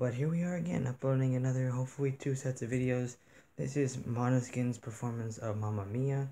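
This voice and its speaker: Quiet and dark, mellow in tone, a man speaks at a fairly quick pace and medium pitch with fairly even intonation. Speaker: reaction youtuber. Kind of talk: casual vlog chat to camera. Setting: home room near bedrooms. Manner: speaking quietly. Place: home room.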